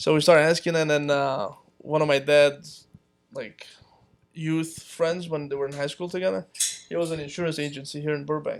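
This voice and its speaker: A man with a Romanian accent, moderate pace and fairly even intonation. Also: fairly high pitch for a man. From Palestine. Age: 30s. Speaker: small business owner. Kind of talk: casual chat.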